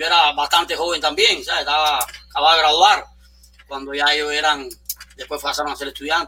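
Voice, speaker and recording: Noticeable background noise sits behind a man with a fairly high pitch and monotone, flat intonation. He talks at a very fast pace yet takes long, frequent pauses. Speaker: supermarket entrepreneur. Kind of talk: interview conversation.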